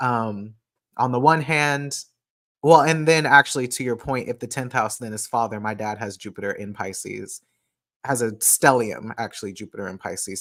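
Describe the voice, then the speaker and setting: At a moderate pace, a man talks in a medium pitch with ordinary pitch variation, on a very clean recording with a silent background. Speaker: astrologer hosting a live stream. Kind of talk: casual live stream talk reading chat comments. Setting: live stream. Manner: casual, hesitant with many fillers.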